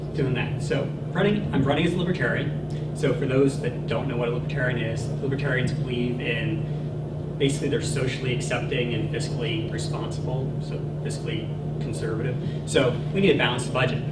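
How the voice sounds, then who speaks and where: Over loud background noise, a man talks at a fairly quick pace. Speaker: candidate. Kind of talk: campaign speech. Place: meeting room. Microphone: handheld.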